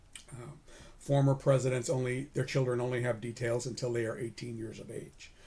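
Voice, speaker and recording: A man with an American accent speaks at a fairly quick pace in a somewhat breathy, medium-pitched voice with a dark, mellow tone and big swings in loudness. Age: 60s. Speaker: retired federal agent, career advice YouTuber. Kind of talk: informational talk to camera. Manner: casual, conversational with fillers.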